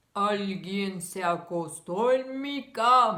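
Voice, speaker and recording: In a put-on character voice at a middle pitch, the speaker goes at a very slow pace. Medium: read story.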